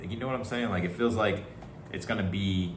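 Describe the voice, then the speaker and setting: Noticeable background noise and audible room echo surround a man's fairly low voice. He speaks at a fairly quick pace. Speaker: tarot reader. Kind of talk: tarot reading, casual monologue. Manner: fast; animated.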